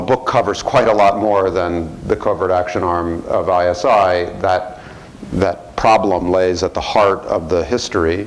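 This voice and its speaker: A man with a very deep, low pitch, a fairly slow pace, and fairly even intonation. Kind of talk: lecture. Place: hall. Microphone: lapel.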